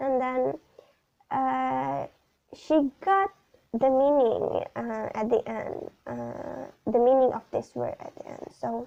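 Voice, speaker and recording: A woman's very slow speech with big swings in loudness. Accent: Indonesian. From Indonesia. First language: Indonesian. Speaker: student teacher. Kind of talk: class presentation video. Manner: halting, many fillers.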